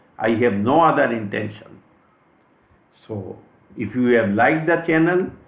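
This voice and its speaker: Audible room echo accompanies a man speaking in an Indian accent at a fairly slow pace, with lively intonation. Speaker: astrologer. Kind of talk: lecture. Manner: formal.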